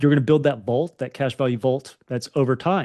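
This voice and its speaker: Over a quiet background, a man with a Southern accent talks at a medium pitch with ordinary pitch variation. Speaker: financial podcast co-host. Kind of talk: casual chat.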